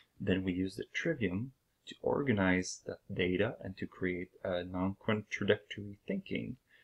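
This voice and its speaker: A man speaks with a French accent at a moderate pace. The sound is dry and close with no echo, over a quiet background. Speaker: video blogger. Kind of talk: channel introduction talk. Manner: hesitant, many fillers.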